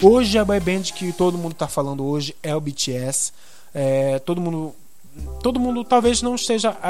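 Delivery comes at a moderate pace with lively intonation. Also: man, high pitch for a man. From Belém do Pará, northern Brazil. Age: 20s. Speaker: journalist and podcast host. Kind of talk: solo podcast monologue. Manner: casual, many filler hesitations.

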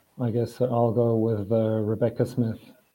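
This man speaks with a German accent at a medium pitch. His pace is fairly slow. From Switzerland. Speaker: swimmer. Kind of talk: casual chat.

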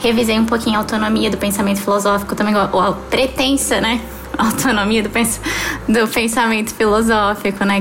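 Over noticeable background noise and audible room echo, a woman talks at a fairly quick pace in a medium pitch with monotone, flat intonation. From Palmas, Tocantins, Brazil (born in Rio). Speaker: theology student. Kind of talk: casual podcast chat.

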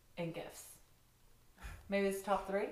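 A woman with an American accent, medium pitch and monotone, flat intonation, amid audible room echo. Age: 20s. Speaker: podcast guest, host's best friend. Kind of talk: casual chat.

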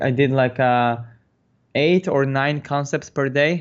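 A man speaks with a Polish accent. His intonation stays fairly even. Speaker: concept artist. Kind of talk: interview. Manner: halting.

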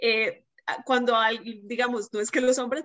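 The speaker is a woman with a high pitch. She talks at a moderate pace. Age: 20s. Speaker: writer. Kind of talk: casual chat.

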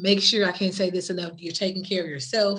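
A woman speaks in a fairly low voice with monotone, flat intonation. Noticeable background noise runs underneath. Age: 40s. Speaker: podcast host and domestic violence advocate. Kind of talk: casual interview. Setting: virtual online session.

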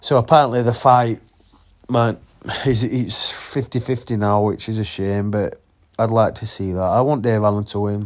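A man talks at a medium pitch in a Yorkshire accent. His intonation is fairly even and his pace moderate. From Yorkshire, England. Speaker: boxing podcast host. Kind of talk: casual solo podcast commentary. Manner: casual, halting with fillers.

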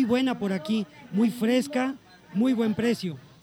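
Noticeable background noise sits under this recording of a man. He speaks at an extremely high pitch with ordinary pitch variation. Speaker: radio host. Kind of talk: live radio broadcast.

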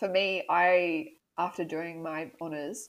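Fairly low in pitch, a woman speaks with an Australian accent and fairly even intonation. The recording is very clean, with a silent background. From Australia, northern New South Wales. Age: 20s. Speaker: PhD student, marine scientist. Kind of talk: casual interview.

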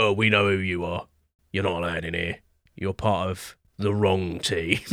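A man's put-on character voice, very deep and low, gruff and raspy, flat and monotone at a moderate pace, on a very clean recording with a silent background. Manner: threatening, dismissive.

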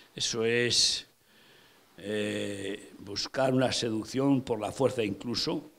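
A man speaks very slowly, his pitch in the medium range. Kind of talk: sermon. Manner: animated, vivid storytelling, repeating names for emphasis; conversational, addressing listeners directly.

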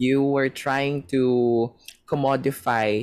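Pitched fairly high, a man's voice rises and falls with lively intonation. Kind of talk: interview.

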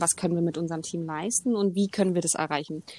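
The voice belongs to a woman. The background is silent on a very clean recording. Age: 20s. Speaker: sports coach. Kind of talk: casual chat.

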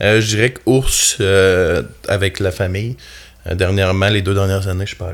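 A man with a fairly low pitch and fairly even intonation talks at a moderate pace, taking long, frequent pauses and making big swings in loudness. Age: 30s. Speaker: carpenter foreman and outdoor TV show host. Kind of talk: casual chat.

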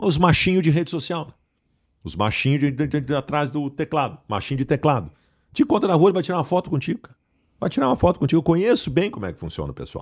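Over a silent background on a very clean recording, a man with a fairly high, vocal-fried voice talks very fast with lively intonation and long, frequent pauses. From southern Brazil, Porto Alegre. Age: 40s. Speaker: sports journalist. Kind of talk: casual chat.

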